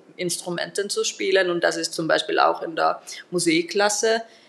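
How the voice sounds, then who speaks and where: A woman with a Finnish accent at a fairly slow pace. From Finland, Turku. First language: Finnish (speaking German). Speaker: singing teacher and metal musician. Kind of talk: interview.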